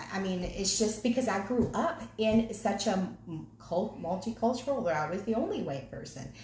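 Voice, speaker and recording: With a Southern accent, a woman speaks at a moderate pace in an animated tone with lively intonation, amid audible room echo and noticeable background noise. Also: medium pitch for a woman. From US South, Virginia (Henrico County). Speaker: ministry co-leader. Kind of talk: casual chat.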